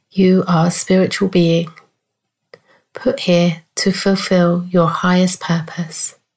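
Somewhat breathy and fairly low in pitch, a woman talks very slowly in a calm tone, with monotone, flat intonation and very even loudness. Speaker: spiritual coach. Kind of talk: guided meditation, soothing and unhurried, with long pauses between gentle instructions. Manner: soft-spoken, calm and reassuring.

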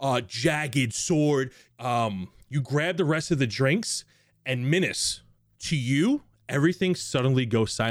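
The voice reads in an unforced reading voice.

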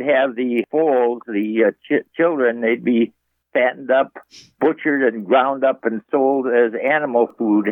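A man talks at a medium pitch in an ordinary speaking voice. His intonation stays fairly even. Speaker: caller. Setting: phone call.

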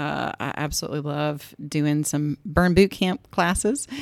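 A woman speaks at a fairly slow pace in a Southern US accent, her pitch very deep and low. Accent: US South. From Greensboro, Georgia. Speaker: physical therapist. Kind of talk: casual chat.

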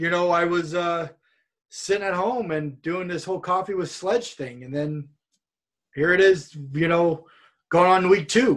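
The speaker talks at a fairly slow pace with a Californian accent and ordinary pitch variation. Long pauses come often. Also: man, high pitch for a man. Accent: General American (Californian). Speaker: professional wrestler. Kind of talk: casual interview chat. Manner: storytelling, animated.

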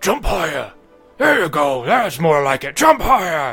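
A man shouts in a put-on character voice at a high pitch and a moderate pace. Faint music plays in the background. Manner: yelling, barking orders.

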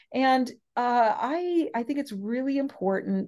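Against a quiet background, a woman with an American accent speaks in a dark, mellow tone with very wide pitch swings. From US West Coast. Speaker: professor. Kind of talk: interview.

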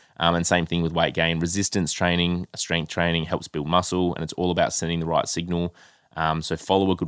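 A man with an Australian accent and a very deep, low pitch talks at a very fast pace in a dry, close sound with no echo, on a very clean recording with a silent background. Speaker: health coach and podcast co-host. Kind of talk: casual chat. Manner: animated.

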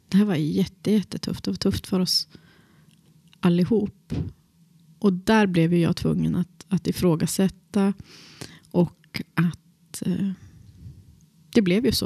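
Dry and close with no echo, a woman's dark, mellow, somewhat breathy voice moves at a fairly slow pace with fairly even intonation. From Västerbotten, northern Sweden. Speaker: drama teacher and actor. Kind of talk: personal interview.

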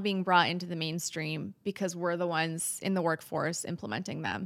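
A plain, everyday voice from a woman with an American accent, fairly low pitch, fairly even intonation and a moderate pace, on a very clean recording with a silent background. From Wisconsin, US Midwest. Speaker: union president, media relations director. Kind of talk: casual interview conversation.

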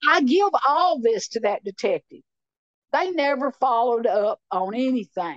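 In a Tennessee accent, a woman with a high pitch and very wide pitch swings speaks at a fairly slow pace, with a dry, close sound and no echo. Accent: Southern US (Tennessee). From Tennessee, Clay County. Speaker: mother of a victim. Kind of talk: interview testimony.

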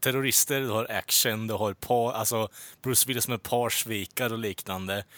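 On a very clean recording with a silent background and a dry, close sound with no echo, a man with a fairly low pitch and a bright, sharp tone talks at a fairly quick pace. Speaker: podcast host. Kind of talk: casual chat. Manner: animated.

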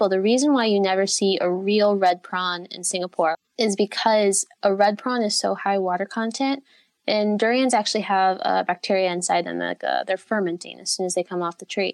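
With an American accent and an ordinary speaking voice, a woman talks at a fairly quick pace in a medium pitch with fairly even intonation, the sound dry and close with no echo and the recording very clean over a silent background. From United States. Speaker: durian blogger and tour guide. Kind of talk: interview.

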